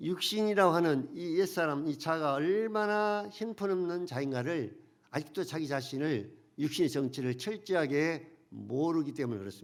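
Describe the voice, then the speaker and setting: With audible room echo, a man talks at a moderate pace, his fairly high voice carrying lively intonation. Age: 70s. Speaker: pastor. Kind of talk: sermon.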